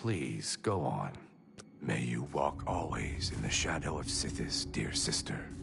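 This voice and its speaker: Through clear background noise, a man puts on a character voice. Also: fairly slow pace. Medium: video game. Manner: measured, solemn.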